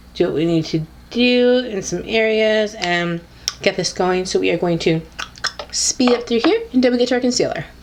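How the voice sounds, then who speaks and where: With lively intonation, a woman speaks as noticeable background noise plays. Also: moderate pace. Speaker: beauty YouTuber. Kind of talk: casual talk to camera. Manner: upbeat.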